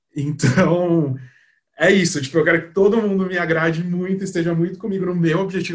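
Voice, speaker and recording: At a fairly quick clip, a man talks in a high pitch. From Brazil, São Paulo. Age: 20s. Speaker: advertising professional. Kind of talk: casual chat.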